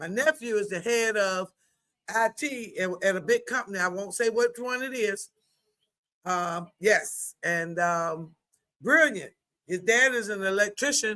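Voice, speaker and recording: An animated speaker with an American accent talks at a fairly slow pace. The recording is very clean with a silent background. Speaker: sports streamer. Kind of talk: live stream chat.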